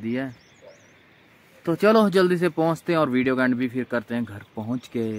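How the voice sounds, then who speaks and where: This man talks at a moderate pace with ordinary pitch variation. The sound is dry, with no echo. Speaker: travel vlogger. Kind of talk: casual vlog chat. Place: open country. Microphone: phone near.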